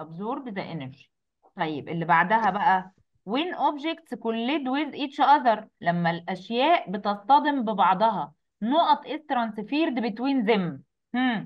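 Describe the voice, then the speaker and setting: A woman with a fairly high pitch, very wide pitch swings and a fairly slow pace. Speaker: science teacher. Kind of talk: online class tutorial.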